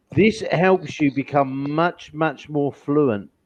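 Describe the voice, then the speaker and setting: A man's fairly high voice with an English accent, very slow pace and ordinary pitch variation. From England. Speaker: online English teacher. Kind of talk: one-on-one language lesson.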